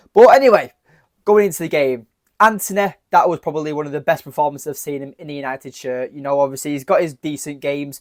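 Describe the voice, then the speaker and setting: On a very clean recording with a silent background, a man with an English accent talks very fast at a fairly high pitch, with ordinary pitch variation and big swings in loudness. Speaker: football fan commentator. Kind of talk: match reaction vlog. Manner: animated.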